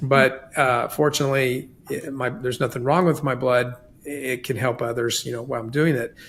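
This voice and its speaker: A man with an ordinary speaking voice talks at a moderate pace and medium pitch. His intonation is fairly even. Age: 60s. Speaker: podcast host. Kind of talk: casual chat.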